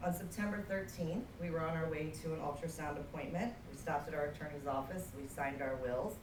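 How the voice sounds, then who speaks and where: This woman talks at a fairly quick clip with hardly any pauses, her very deep, low pitch moving with ordinary variation over noticeable background noise and audible room echo. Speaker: widow telling her story. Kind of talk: testimony. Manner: fast.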